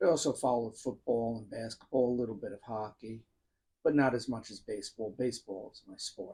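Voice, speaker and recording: A man's dark, mellow tone at a fairly quick pace, with fairly even intonation and big swings in loudness. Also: medium pitch for a man. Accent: strong New York. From New York. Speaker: YouTuber talking about music. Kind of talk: personal monologue. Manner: casual.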